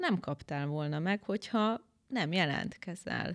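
Woman with a plain, everyday voice, lively intonation and a fairly slow pace, in a very clean recording with a silent background and a dry, close sound with no echo. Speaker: beauty pageant winner. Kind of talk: interview.

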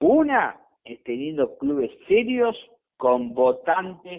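The man's pitch swings very widely as he talks. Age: 40s. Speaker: football podcast host. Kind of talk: casual sports talk. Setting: remote call with co-host.

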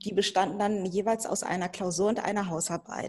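A moderate pace carries this somewhat breathy voice. Its pitch varies in an ordinary way. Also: woman. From Germany, Hannover. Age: 40s. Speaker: lawyer. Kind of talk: interview.

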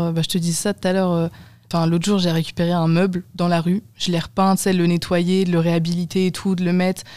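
The voice has a dark, mellow tone and monotone, flat intonation. It moves at a fairly quick pace with very even loudness. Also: woman, fairly low pitch for a woman. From Brittany, France. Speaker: student podcast host. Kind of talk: casual chat.

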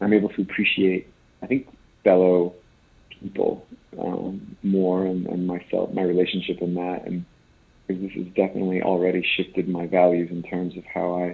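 The speaker has an American accent and talks at a moderate pace. The intonation stays flat and monotone. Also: man. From rural Iowa. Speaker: charity auctioneer. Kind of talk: casual chat.

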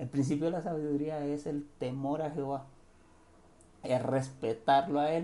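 This man's fairly high voice stays fairly even in its intonation. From Cartagena, Colombian Caribbean coast. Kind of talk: casual devotional monologue. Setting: home recording at night. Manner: hesitant, many fillers and repetitions.

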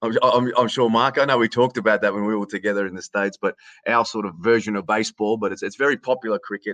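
A man with an Australian accent, very fast pace and fairly even intonation. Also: medium pitch for a man, dry, close sound with no echo, quiet background. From Australia, Canberra region. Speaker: sports announcer. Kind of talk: casual interview chat.

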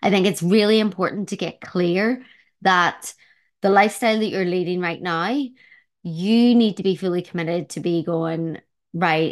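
A woman speaks at medium pitch and a moderate pace with fairly even intonation. The background is quiet. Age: 40s. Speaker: health coach and yoga teacher. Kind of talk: solo podcast monologue.

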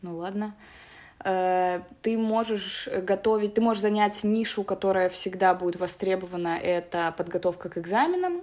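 A woman with medium pitch and fairly even intonation talks at a moderate pace in an ordinary speaking voice. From Belarus, Minsk. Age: 20s. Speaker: English teacher. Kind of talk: casual interview.

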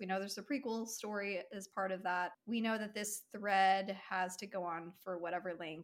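Just a natural reading voice

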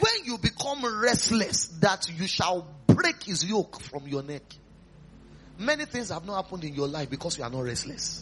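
Against noticeable background noise, a man with a Nigerian accent talks at a moderate pace in an animated tone, his high pitch making very wide swings. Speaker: pastor. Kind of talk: revival sermon retelling Bible stories to a live congregation. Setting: church. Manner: animated storytelling with rhetorical questions and chuckles; repetitive, emphatic exhortation leading call-and-response prayer.

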